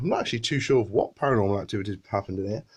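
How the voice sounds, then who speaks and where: A fairly low-pitched man in a British accent, with ordinary pitch variation. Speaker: paranormal investigator. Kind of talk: walkthrough presentation to camera.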